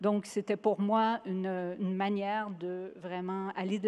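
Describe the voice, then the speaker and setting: Against a quiet background, a woman with a Quebec accent speaks at medium pitch in a monotone, flat delivery. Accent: Québécois French. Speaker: sustainability executive at investment fund. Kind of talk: award acceptance speech. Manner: halting, many hesitations.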